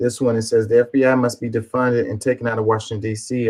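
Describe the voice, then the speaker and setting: A somewhat breathy voice at a moderate pace, with a dry, close sound and no echo. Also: man. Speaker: political commentary streamer. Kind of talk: livestream commentary reading posts. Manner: halting, stuttering over words.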